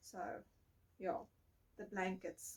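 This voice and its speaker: At a fairly slow pace, a woman speaks at a medium pitch with vocal fry. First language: not English. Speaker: podcast host, crafter. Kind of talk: casual chat.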